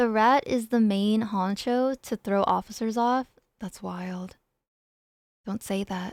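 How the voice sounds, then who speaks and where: Over a very clean recording with a silent background, a woman speaks in a fairly high pitch. Her pace is very slow, with long, frequent pauses. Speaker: streamer. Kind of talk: casual chat. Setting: live stream. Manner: loud; animated.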